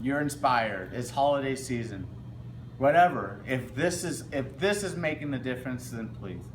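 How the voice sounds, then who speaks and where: Both noticeable background noise and audible room echo surround the voice. A man talks at a moderate pace. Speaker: student vlogger. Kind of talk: casual vlog appeal. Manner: halting.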